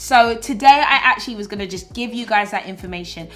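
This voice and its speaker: Fairly high-pitched woman with a British accent, at a moderate pace, over noticeable background noise. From Britain. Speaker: YouTuber and influencer. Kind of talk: vlog monologue.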